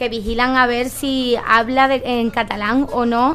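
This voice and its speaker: Music in the background beneath a woman's high voice. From Andalusia, Cádiz. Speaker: political talk show panelist. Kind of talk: panel discussion.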